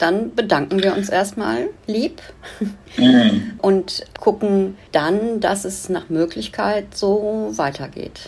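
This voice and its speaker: Background noise is clearly heard throughout. A woman talks very slowly. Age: 60s. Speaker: activist fundraiser, businesswoman. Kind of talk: interview.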